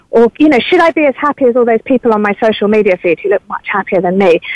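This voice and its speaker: In a British accent, a woman speaks at a high pitch with very wide pitch swings. The sound is dry and close, with no echo. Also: quiet background. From England. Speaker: author and journalist. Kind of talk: interview.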